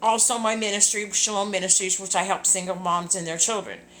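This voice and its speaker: Her tone bright and sharp, a woman with an American accent speaks at a medium pitch with fairly even intonation, and audible room echo is present. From Southern California. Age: 60s. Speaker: singer and ministry leader. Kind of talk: casual live video chat. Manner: rambling, hesitant with fillers.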